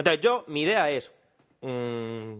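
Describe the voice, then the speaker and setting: This man talks at a fairly slow pace. His voice has a medium pitch. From Murcia, Spain. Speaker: podcast co-host. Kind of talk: casual chat. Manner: animated.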